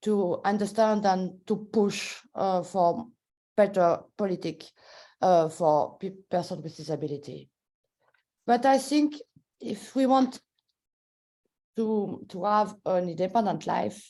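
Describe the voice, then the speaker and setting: Speaking very slowly with long, frequent pauses, a woman has a French accent and a medium pitch. Her tone is dark and mellow, and her intonation is lively. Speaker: policy maker. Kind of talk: webinar talk. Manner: halting.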